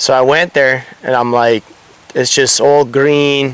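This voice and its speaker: Over noticeable background noise, a man speaks at a medium pitch, very slowly and in a monotone, flat intonation. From Italy. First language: Italian. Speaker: surfboard shaper. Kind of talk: casual interview.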